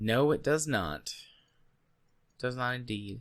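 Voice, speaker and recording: This man's voice sits at a medium pitch, and his intonation is lively. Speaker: podcast co-host. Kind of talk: casual chat.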